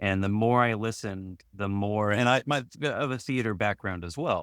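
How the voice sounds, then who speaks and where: A man's plain, everyday voice, fairly low in pitch, with ordinary pitch variation and a moderate pace. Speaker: podcast host. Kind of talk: podcast interview.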